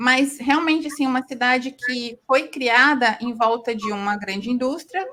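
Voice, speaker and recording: Raised and projected, a woman's high-pitched voice carries lively intonation. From southern Brazil, interior of Paraná. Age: 40s. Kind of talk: podcast interview.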